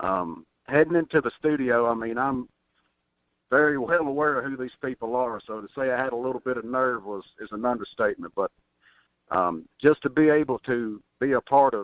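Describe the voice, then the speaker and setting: With a Tennessee accent, a man speaks at medium pitch and a fairly quick pace. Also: ordinary pitch variation. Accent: Southern US (Tennessee). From Tennessee, near Nashville. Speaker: country recording artist. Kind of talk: radio interview. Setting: phone call.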